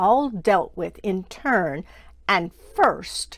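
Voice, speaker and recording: A female-sounding voice uses a put-on character voice. The pitch sits in the middle range. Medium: read story. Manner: solemn, commanding.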